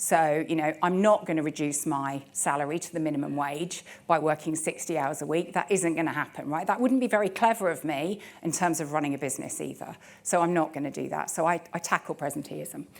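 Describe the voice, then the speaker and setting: With a West Midlands accent, a woman talks at a fairly quick pace in a very deep, low pitch, with ordinary pitch variation. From West Midlands, England. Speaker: telecoms director. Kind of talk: conference talk. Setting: stage with audience. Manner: casual, conversational.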